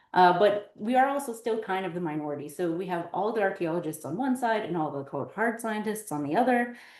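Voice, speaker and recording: With lively intonation and hardly any pauses, a woman at medium pitch talks at a fairly quick pace amid audible room echo. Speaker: PhD candidate archaeological scientist. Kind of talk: academic seminar talk. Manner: hesitant with many fillers.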